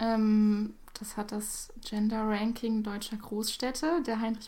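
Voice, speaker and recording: At a very slow pace, the voice sounds dark, mellow and somewhat breathy. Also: woman. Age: 18. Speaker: podcast guest. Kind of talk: casual chat.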